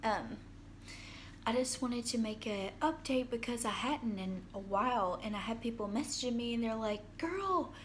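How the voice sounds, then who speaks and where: Audible room echo surrounds a woman speaking at a moderate pace, her fairly high pitch showing ordinary variation. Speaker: vlogger sharing mental health experience. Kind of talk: casual video diary. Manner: hesitant, many fillers.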